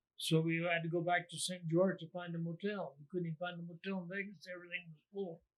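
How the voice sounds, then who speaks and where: A man with an American accent talks at a very fast pace with hardly any pauses. His voice is high, his intonation monotone and flat, and his loudness swings widely. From Jerome, Arizona. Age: 80s+. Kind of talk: interview answer.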